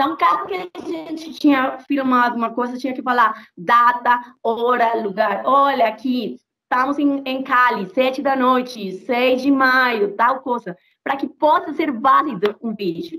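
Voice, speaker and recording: A high-pitched woman with a Spanish accent, bright and sharp in tone, animated, at a fairly slow pace with hardly any pauses. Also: ordinary pitch variation. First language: Spanish (speaking Portuguese). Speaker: activist. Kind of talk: interview. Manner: halting.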